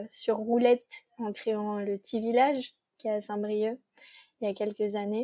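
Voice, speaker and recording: This woman's fairly high voice has a dark, mellow tone and a flat, monotone delivery at a fairly slow pace. The recording is very clean and dry, close, with a silent background and no echo. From Paris region, France. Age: 20s. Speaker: ecological transition consultant. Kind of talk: interview conversation.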